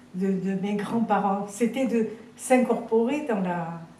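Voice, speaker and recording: A woman's fairly high voice comes through audible room echo and noticeable background noise. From Algeria (French Algeria, Tébessa). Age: 90s. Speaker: eyewitness of wartime history. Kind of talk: interview testimony. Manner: halting, many repetitions and fillers.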